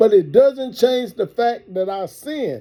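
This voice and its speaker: Lively intonation marks this man's speech at a moderate pace. His tone is dark and mellow. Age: 50s. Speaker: partner in couple prank video. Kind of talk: heated relationship argument.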